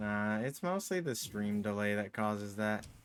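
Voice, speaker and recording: A man talks at a fairly slow pace in a plain, everyday voice with a fairly low pitch. The recording is very clean, with a silent background. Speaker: video game streamer. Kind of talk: live gameplay commentary. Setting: live stream. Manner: casual, meandering.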